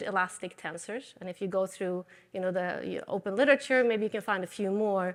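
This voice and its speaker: A woman speaks with a slight Swedish accent and ordinary pitch variation. The recording is very clean, with a silent background. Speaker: materials science professor. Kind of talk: lecture.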